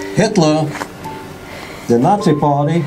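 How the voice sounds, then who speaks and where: Man speaking at a fairly slow pace, with audible room echo and music in the background. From Lithuania. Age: 70s. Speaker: Holocaust survivor. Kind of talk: public speech.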